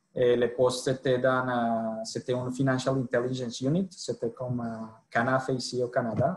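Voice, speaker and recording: In a Colombian accent, a man with a medium-pitched voice speaks at a moderate pace in a monotone, flat intonation. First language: Spanish (speaking French). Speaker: sales director. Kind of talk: podcast interview. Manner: halting.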